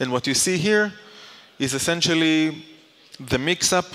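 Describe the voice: A man's fairly bright tone at a moderate pace, with ordinary pitch variation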